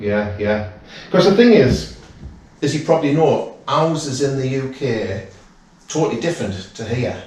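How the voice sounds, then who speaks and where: A man with a northeast English accent talks at a moderate pace with lively intonation and long, frequent pauses. Noticeable background noise and audible room echo fill the recording. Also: medium pitch for a man. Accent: northeast English (Durham). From northeast England, County Durham. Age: 50s. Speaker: property investor visiting as fan. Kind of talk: casual chat. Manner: animated, halting with repeats.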